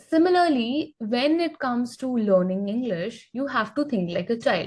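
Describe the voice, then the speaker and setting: A woman with an Indian accent speaks at a moderate pace. Her high pitch moves in very wide swings. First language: Hindi. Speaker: English teacher. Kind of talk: podcast interview on learning English.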